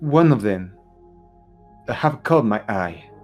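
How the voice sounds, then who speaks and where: With music in the background, a man speaks at a very slow pace, his pitch swinging very widely. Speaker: game master narrating a tabletop horror RPG. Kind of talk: tabletop RPG game-master narration.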